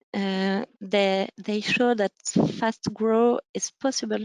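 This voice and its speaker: In a French accent, a woman speaks at a fairly slow pace with fairly even intonation, in a dry, close sound with no echo and a quiet background. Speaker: conference speaker. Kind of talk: conference presentation. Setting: webinar. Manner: halting, many fillers.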